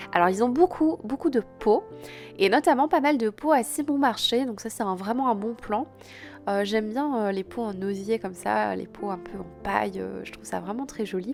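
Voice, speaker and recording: Against background music, a woman speaks at a moderate pace. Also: lively intonation, big swings in loudness. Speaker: houseplant content creator. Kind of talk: casual vlog voice-over.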